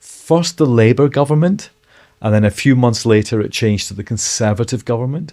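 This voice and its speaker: A man with a Scottish accent, medium-pitched and dark, mellow in tone, at a fairly quick pace with lively intonation. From Scotland, Edinburgh (Leith). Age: 60s. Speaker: former city mayor and author. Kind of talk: interview, life story. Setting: studio.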